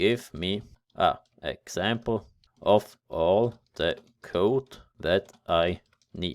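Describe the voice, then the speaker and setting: A man with a German accent speaks at a fairly low pitch with ordinary pitch variation. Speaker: tech tutorial youtuber. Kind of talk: tutorial. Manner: casual, somewhat halting.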